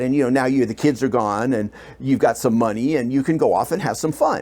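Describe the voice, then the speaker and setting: The pitch of this man is medium. It rises and falls in an ordinary way. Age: 60s. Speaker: interviewee in documentary. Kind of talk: casual interview. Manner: halting, filler-heavy.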